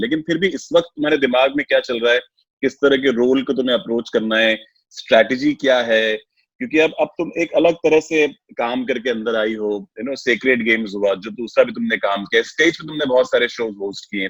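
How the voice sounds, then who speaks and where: A man's unremarkable speaking voice, medium in pitch, at a moderate pace and with ordinary pitch variation. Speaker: radio host, interviewer. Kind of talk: interview question.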